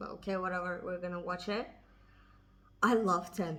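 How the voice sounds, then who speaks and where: A woman with a non-native accent talks at a medium pitch. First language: not English. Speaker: K-pop reaction youtuber. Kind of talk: casual music video reaction to camera. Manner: excited.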